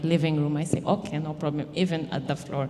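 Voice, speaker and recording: A woman with a non-native accent speaks at a very deep, low pitch. Her tone is dark and mellow, and her intonation is fairly even. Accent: non-native English speaker. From Lebanon. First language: Arabic. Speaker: mother and immigrant housing program participant. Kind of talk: personal testimony. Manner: halting.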